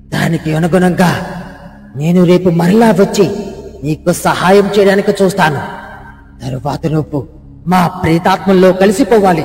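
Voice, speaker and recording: A put-on character voice with a sinister tone and middle pitch moves at a fairly slow pace, with a slight echo and light background noise. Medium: read story. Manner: commanding, sinister.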